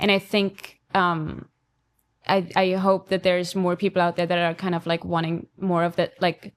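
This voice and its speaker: Her pitch is fairly low for a woman, and her intonation is monotone and flat. She keeps a moderate pace. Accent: Austrian. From Austria. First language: German. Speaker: podcast co-host, film photographer. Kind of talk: casual chat. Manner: hesitant, many fillers.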